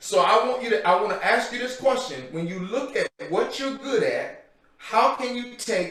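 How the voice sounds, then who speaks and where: A loud man with a high pitch talks at a fairly slow pace, and audible room echo surrounds his voice. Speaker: guest speaker for mentoring program. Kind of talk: motivational talk. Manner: loud, pumped up.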